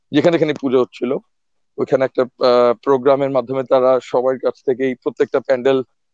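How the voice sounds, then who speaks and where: Dry, close sound with no echo, from a man with a fairly high voice and a dark, mellow tone. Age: 30s. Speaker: epidemiologist and association volunteer. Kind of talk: casual interview.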